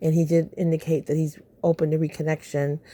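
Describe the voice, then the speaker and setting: A woman's very deep, low voice, dark and mellow in tone, in a very clean recording with a silent background. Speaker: YouTuber reacting to reality TV. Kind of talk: casual vlog commentary. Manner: fast.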